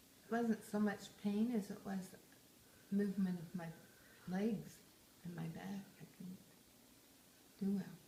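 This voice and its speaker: A woman speaks at a fairly slow pace in a medium pitch with fairly even intonation. Her dark, mellow tone carries vocal fry. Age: 70s. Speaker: retired grandmother interviewed by family. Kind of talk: casual family interview.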